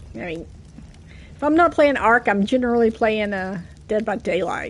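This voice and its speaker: Lively intonation with an American accent at a moderate pace. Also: woman, fairly high pitch for a woman. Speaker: gaming streamer. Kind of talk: casual live-stream chat. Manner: animated.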